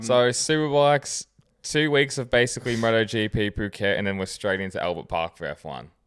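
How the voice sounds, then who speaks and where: This man has an unremarkable speaking voice at a medium pitch, with lively intonation and a moderate pace. The recording is very clean with a silent background. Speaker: motorsport podcast co-host.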